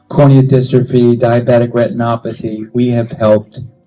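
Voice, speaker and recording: A man's voice over background music. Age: 70s. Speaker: doctor of Chinese medicine. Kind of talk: talk to a live audience. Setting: stage with audience. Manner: halting.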